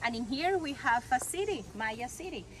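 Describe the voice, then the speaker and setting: A woman with a Mexican accent speaks at a moderate pace. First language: Spanish. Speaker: tour guide. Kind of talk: guided tour talk.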